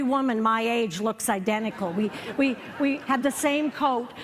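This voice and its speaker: Against noticeable background noise, a woman speaks with a Canadian accent. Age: 60s. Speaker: comedian. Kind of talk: stand-up. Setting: stage with audience.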